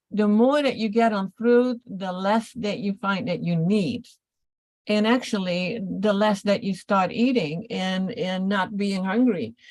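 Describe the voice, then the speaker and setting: A woman speaks at medium pitch with ordinary pitch variation. Her voice is somewhat breathy, and her pace is fairly slow. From Netherlands. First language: Dutch. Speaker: detox and nutritional health coach. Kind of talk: casual health Q&A chat. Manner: halting.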